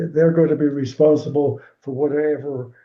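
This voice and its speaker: The man's voice is somewhat breathy. His pitch sits fairly high. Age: 90s. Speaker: swim coach. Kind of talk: interview. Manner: halting.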